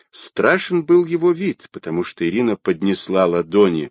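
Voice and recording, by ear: The passage is read aloud in a natural voice.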